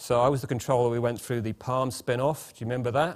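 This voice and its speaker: A man with a British accent talks fairly quickly at a medium pitch on a very clean recording with a silent background. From England. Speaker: management consultant, former CFO. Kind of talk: conference opening speech. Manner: halting, many repetitions and fillers; informal, chatty.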